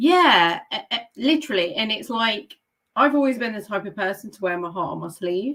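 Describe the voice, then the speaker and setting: With a British accent, a woman speaks at a fairly high pitch, making very wide pitch swings and big swings in loudness. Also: moderate pace. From English Midlands, Leicester. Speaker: author and book mentor. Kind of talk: interview.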